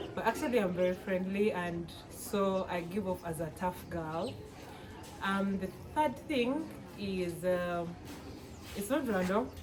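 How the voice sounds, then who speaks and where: At a fairly slow pace and medium pitch, a woman speaks with lively intonation and long, frequent pauses. Noticeable background noise and audible room echo surround her. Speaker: medical student. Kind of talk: casual interview. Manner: halting.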